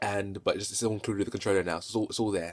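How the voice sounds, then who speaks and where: The man's voice sits fairly low in pitch, with a British accent. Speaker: gaming vlogger. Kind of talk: casual video review. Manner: hesitant, many fillers and repetitions.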